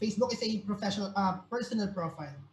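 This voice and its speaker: A woman with a Filipino accent, medium in pitch, at a fairly quick pace with ordinary pitch variation. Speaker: career talk speaker, recruiter. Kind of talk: online workshop talk. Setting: video call. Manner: hesitant, many fillers.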